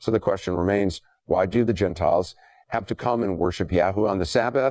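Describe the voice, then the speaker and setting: With lively intonation and a fairly quick pace, a man talks in an unremarkable speaking voice. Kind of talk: dramatized religious commentary voice-over.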